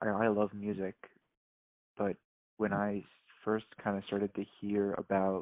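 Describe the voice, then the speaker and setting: A soft-spoken man with a fairly low pitch, talking at a moderate pace. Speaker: podcast guest with schizophrenia. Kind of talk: casual chat. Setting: phone call. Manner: halting.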